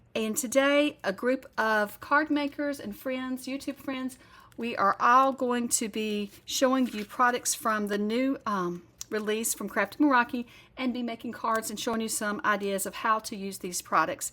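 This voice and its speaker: With a Southern US accent, a woman speaks in a high pitch and a bright, sharp tone, at a moderate pace with ordinary pitch variation. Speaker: card-making crafter. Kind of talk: tutorial. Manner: casual, conversational.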